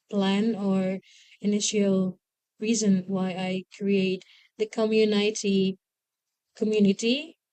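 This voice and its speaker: A woman's medium-pitched voice at a very slow pace, with fairly even intonation and long, frequent pauses. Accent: Indonesian. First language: Indonesian. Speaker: English-speaking community leader. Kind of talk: interview. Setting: school, in front of students. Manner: halting.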